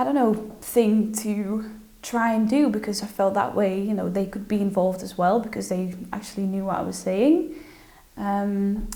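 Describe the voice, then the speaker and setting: In a Dutch accent, a woman speaks at a fairly high pitch with ordinary pitch variation, and the room echo is audible. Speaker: social media influencer. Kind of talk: interview. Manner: hesitant, many fillers and repetitions.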